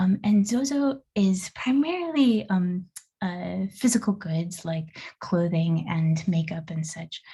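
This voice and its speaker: Very slow, somewhat breathy speech with lively intonation. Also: woman, medium pitch for a woman. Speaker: international expert speaker on digital marketing. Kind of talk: online presentation. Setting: video call.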